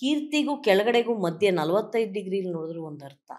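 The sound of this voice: A woman at medium pitch with very wide pitch swings.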